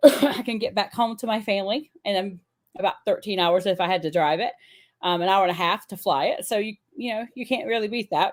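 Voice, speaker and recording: At a fairly quick pace, a woman speaks in a medium pitch with ordinary pitch variation. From US South, upstate South Carolina (Pickens). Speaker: teacher. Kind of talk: casual chat.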